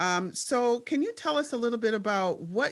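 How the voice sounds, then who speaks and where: A woman with an American accent and an ordinary speaking voice speaks at a moderate pace with lively intonation. The recording is very clean, with a silent background. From Minnesota, Twin Cities. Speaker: podcast host and panel moderator. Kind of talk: panel discussion.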